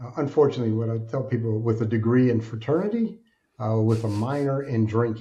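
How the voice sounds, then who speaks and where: A man with an American accent speaks at a fairly quick pace in a dark, mellow tone. His voice is somewhat breathy, and his intonation is fairly even. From Alaska, US. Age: 60s. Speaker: author and speaker, former addict. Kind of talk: interview, personal testimony.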